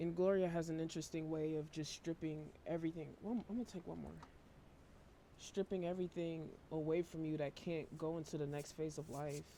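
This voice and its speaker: A woman talks at a fairly quick pace in a very deep, low pitch, her dark, mellow tone carrying fairly even intonation. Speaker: tarot reader. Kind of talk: tarot reading. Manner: monotone.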